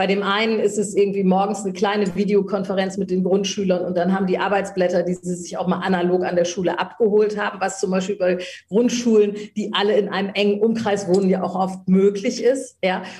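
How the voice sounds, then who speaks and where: A woman speaks in a monotone, with flat intonation. Noticeable background noise sits behind her. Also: medium pitch for a woman, fairly quick pace, hardly any pauses. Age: 50s. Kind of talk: interview.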